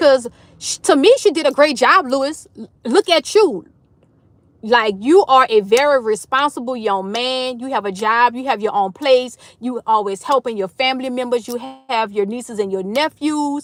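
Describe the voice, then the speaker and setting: Loud and animated, a woman with a high pitch speaks at a moderate pace with lively intonation. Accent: American. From New Orleans, Louisiana, US South. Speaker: livestream host. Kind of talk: casual chat. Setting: livestream.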